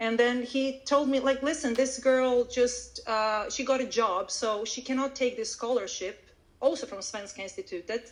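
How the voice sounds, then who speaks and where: A woman's high voice in a Croatian accent, at a moderate pace with ordinary pitch variation. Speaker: Swedish language teacher. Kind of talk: interview. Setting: live audio event.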